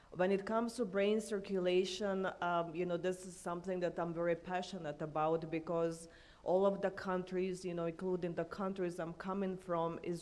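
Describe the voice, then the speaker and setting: Speaking in a Croatian accent, a woman talks at a moderate pace with a monotone, flat intonation, hardly any pauses and a fairly low pitch, with audible room echo. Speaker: EU affairs consultant, panelist. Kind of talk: conference panel talk. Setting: conference stage with audience. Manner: loud.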